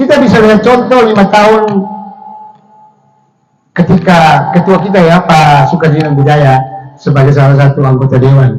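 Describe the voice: The voice has a slightly mellow tone and ordinary pitch variation at a moderate pace. Room echo is audible. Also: man, fairly high pitch for a man.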